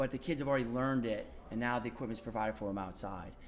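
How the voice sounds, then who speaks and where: With an American accent, the speaker keeps a fairly even intonation while room echo is audible. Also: man. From Maine, US. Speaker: elementary physical education teacher. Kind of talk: casual interview. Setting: at a conference.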